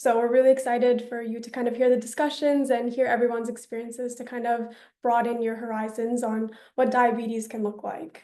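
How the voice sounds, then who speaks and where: A woman speaks at a fairly quick pace in a high pitch, with a dark, mellow tone and monotone, flat intonation. Her loudness swings widely, and room echo is audible. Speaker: diabetes committee co-host. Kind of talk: online event presentation.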